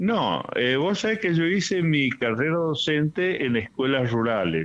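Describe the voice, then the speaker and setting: A man speaks with a fairly high pitch and very wide pitch swings. His loudness stays very even. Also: fairly slow pace. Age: 70s. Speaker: retired teacher and storyteller. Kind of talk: interview.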